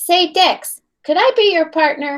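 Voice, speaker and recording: Squeaky and put-on, this character voice moves at a fairly slow pace with ordinary pitch variation. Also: woman. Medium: read story. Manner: teasing.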